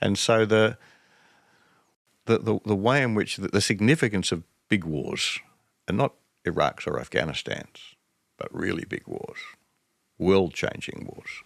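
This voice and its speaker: At a fairly slow pace with long, frequent pauses, a man with an Australian accent speaks at a fairly low pitch, his intonation lively. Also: very clean recording, silent background. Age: 70s. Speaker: strategic studies professor. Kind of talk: interview conversation. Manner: halting, repeats words.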